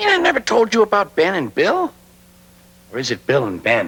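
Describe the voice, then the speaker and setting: This man puts on a character voice pitched high. He talks at a fairly quick pace. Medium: short film. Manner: chatty, whimsical.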